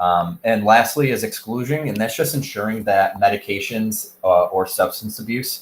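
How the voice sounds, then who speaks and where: Fairly low in pitch, a man speaks at a moderate pace. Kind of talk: educational presentation narration. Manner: casual, hesitant with fillers.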